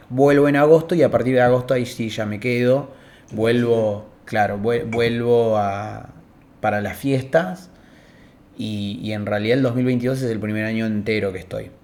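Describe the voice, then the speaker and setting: Audible room echo surrounds a man speaking at medium pitch and a moderate pace, with ordinary pitch variation. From Argentina, Río Negro (Cipolletti). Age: 20s. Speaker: communication student. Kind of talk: interview. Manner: hesitant, many fillers.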